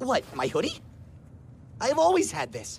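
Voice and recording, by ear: A cartoonish character voice at a moderate pace over clear background noise.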